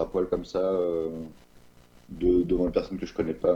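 A man talks at a very fast pace. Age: 20s. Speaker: interviewee sharing personal testimony. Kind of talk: testimony. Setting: remote recording. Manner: halting, many hesitations. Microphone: no microphone, average sound quality.

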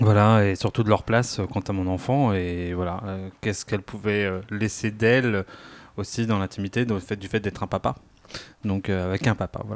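In a very clean recording with a silent background, a man with a fairly low pitch and an unremarkable speaking voice talks at a moderate pace with fairly even intonation. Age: 30s. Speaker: father sharing experience. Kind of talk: casual chat.

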